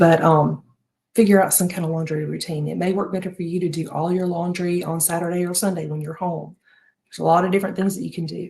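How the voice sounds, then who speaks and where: Her voice is fairly low, dark and mellow, with vocal fry. The woman's intonation stays fairly even. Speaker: home organization and planner creator. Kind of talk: live stream advice chat.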